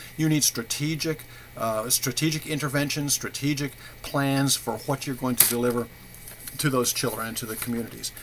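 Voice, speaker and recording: Over noticeable background noise, a man talks at a fairly quick pace with a fairly high pitch and ordinary pitch variation. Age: 70s. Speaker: university professor. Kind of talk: recorded course announcement. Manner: halting, many fillers and repetitions.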